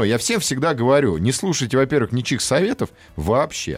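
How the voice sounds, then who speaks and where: An animated man's medium-pitched voice with vocal fry, on a very clean recording with a silent background. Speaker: radio host. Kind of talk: casual chat. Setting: studio.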